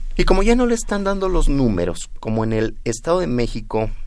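Speech at a moderate pace comes with audible room echo. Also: man. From Mexico, Nezahualcóyotl, State of Mexico. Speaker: politician, election candidate. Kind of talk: radio interview.

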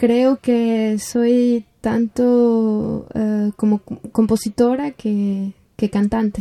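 A woman with a fairly high pitch speaks at a very slow pace in a dark, mellow tone, her intonation monotone and flat. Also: hardly any pauses. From Mexico City. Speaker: composer and singer. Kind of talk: interview. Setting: remote call. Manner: hesitant, many fillers.

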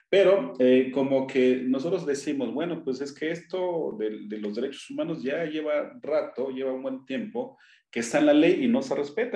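Hardly pausing, a man with a fairly high pitch and a dark, mellow tone talks at a moderate pace with lively intonation. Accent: Oaxacan. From Oaxaca, Mexico (Triqui people). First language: Triqui (speaking Spanish). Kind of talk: radio interview. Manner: halting, many fillers.

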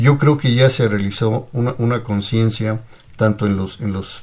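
A man speaks at a moderate pace with a medium pitch, fairly even intonation and a somewhat breathy voice. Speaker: lawyer, legal adviser. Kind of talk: radio interview. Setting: radio studio. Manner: formal.

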